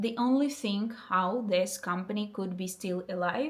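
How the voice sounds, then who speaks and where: Fairly even intonation and a fairly slow pace mark this speaker's voice in a Russian accent. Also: woman. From eastern Ukraine. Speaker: vlogger and startup founder. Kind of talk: casual vlog, English speaking practice. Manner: halting, with many fillers.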